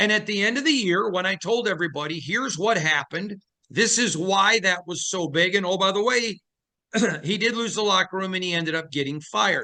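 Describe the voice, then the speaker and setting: Raising and projecting his voice, a man speaks fast-ish, with a high pitch, a bright, sharp tone and ordinary pitch variation. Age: middle-aged. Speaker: sports beat writer and podcast host. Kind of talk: interview conversation.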